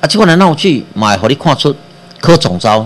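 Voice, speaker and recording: His pitch swings very widely. The man keeps to a moderate pace. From Taiwan. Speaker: radio host and physician; radio host. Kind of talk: political commentary monologue. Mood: critical, animated. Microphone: webcam.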